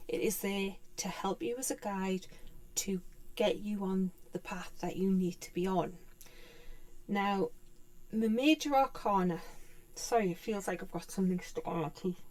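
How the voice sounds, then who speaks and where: With a British accent, a woman speaks at a moderate pace. Her speech has long, frequent pauses. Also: medium pitch for a woman, ordinary pitch variation. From UK. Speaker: tarot teacher. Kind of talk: tutorial. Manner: halting.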